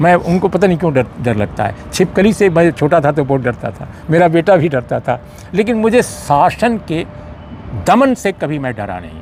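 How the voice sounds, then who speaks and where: Noticeable background noise sits behind a man whose high voice makes very wide pitch swings. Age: 60s. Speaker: senior journalist. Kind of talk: interview. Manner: halting.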